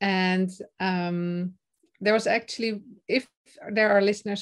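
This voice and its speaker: Speaking at a moderate pace, a woman has a medium pitch, ordinary pitch variation and a Dutch accent. The recording is very clean, with a silent background. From Netherlands. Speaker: confidence and speaking coach. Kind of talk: interview, casual chat. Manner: some hesitations and fillers.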